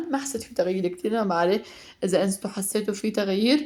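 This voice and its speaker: A woman talks at a fairly quick pace at medium pitch. Noticeable background noise can be heard. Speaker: mother and home cooking vlogger. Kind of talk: casual vlog voiceover; heartfelt message to mothers. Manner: fast; chatty with fillers.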